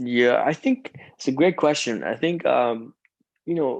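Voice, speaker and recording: A man with an Iranian accent and lively intonation against a quiet background. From Iran (Tehran), moved to Canada as a kid. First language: Farsi. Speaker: singer-songwriter and rapper. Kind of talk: interview conversation. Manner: halting, many fillers.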